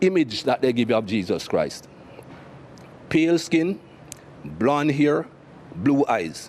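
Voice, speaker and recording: Speaking at a fairly slow pace, a man with a Jamaican accent has a fairly high-pitched voice. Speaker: cricket commentator and former cricketer. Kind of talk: interview answer. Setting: studio.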